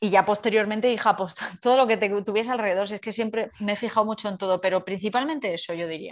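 In a very clean recording with a silent background, a woman talks very fast at a fairly high pitch with fairly even intonation. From Andalusia, Spain (Carmona). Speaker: youtuber and content creator. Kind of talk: casual interview.

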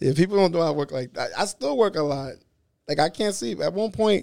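Speaking with a New York accent, a man talks at a fairly quick pace in a fairly high pitch, with ordinary pitch variation. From Brooklyn, New York. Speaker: internet prankster and comedian. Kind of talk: casual interview chat. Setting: studio.

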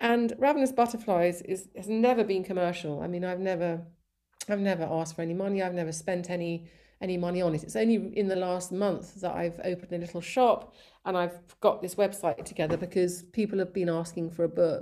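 A woman with a southern English accent, a dark, mellow tone and a fairly quick pace. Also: medium pitch for a woman, ordinary pitch variation. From England, raised there from about age five. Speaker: artist and social media page founder. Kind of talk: interview. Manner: halting, many fillers.

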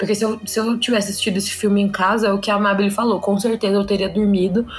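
A woman's medium-pitched voice, monotone and flat, at a very fast pace, amid noticeable background noise. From Brazil, Sorocaba (São Paulo state). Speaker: podcast co-host. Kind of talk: casual chat.

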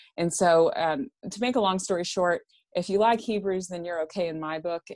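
In a very clean recording with a silent background, a woman with a normal speaking voice talks in a fairly low pitch with ordinary pitch variation. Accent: American. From Texarkana, Texas. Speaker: Bible scholar. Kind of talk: interview on theology.

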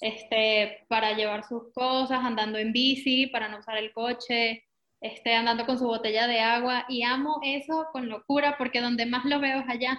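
A woman with a high voice talks at a moderate pace, her intonation monotone and flat. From Venezuela. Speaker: eco shop founder. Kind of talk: interview.

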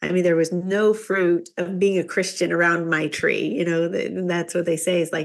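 A woman with an American accent and an ordinary speaking voice talks at a moderate pace, her fairly low pitch held in fairly even intonation. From Kansas, rural. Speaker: business executive, chamber of commerce president. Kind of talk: interview testimony.

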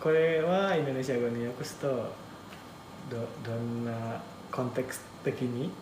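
With an Indonesian accent, a man of medium pitch speaks at a fairly slow pace with ordinary pitch variation and long, frequent pauses, amid audible room echo and noticeable background noise. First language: Indonesian (speaking Japanese). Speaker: manga translator. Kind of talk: casual interview chat.

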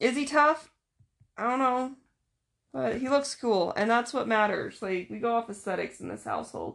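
Here a woman has an unremarkable speaking voice. She talks at a moderate pace with ordinary pitch variation. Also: fairly high pitch for a woman. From Utah. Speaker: podcast host. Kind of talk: casual chat.

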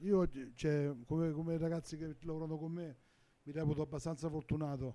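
The voice has a dark, mellow tone and a flat, monotone delivery at a moderate pace. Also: man, fairly high pitch for a man. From Lazio, Olevano Romano. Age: 50s. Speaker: restaurant owner and chef. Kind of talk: casual interview.

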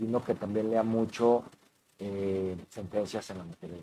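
Here is a man with an ordinary speaking voice. His pitch is fairly low and his intonation fairly even. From Mexico City. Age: 40s. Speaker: election official. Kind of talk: interview.

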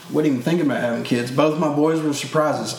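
Fairly even intonation in an American accent, with audible room echo and noticeable background noise. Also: man. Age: 30s. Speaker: parent and camp hunting instructor. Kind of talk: casual chat.

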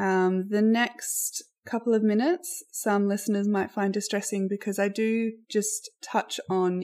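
On a very clean recording with a silent background, a woman with an Australian accent speaks at a medium pitch and a fairly slow pace. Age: 30s. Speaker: podcast host. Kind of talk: personal storytelling. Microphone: poor audio quality.

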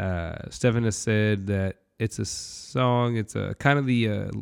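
A man's voice with fairly even intonation, on a very clean recording with a silent background and a dry, close sound with no echo. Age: 30s. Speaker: podcast host reviewing music albums. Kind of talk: solo casual album review monologue. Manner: halting, many fillers.

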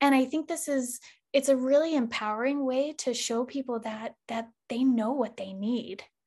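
A woman speaks at a moderate pace in a high voice with ordinary pitch variation over a quiet background. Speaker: naturopathic doctor and yoga instructor. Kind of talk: interview conversation.

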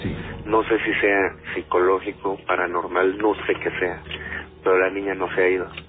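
A man talks at a moderate pace in a very deep, low pitch with monotone, flat intonation. Noticeable background noise runs under his voice. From Mexico City. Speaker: lawyer. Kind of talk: storytelling.

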